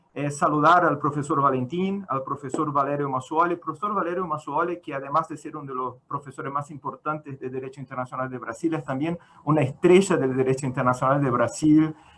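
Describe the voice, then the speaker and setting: A man with a fairly high voice talks at a fairly quick pace with hardly any pauses. His intonation stays fairly even while his loudness swings widely, over noticeable background noise. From Brazil. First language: Portuguese (speaking Spanish). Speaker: law professor. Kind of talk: conference talk. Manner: halting.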